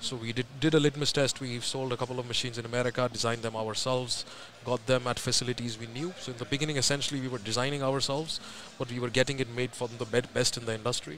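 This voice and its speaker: Over light background noise, a man talks at a very fast pace with fairly even intonation in a dry sound with no echo. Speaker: guest. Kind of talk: interview answer. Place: hall. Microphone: studio mic.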